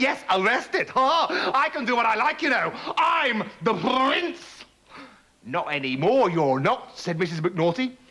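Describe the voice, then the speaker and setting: Against noticeable background noise, a man with a high voice moves through very wide pitch swings. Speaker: storyteller. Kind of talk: children's story reading.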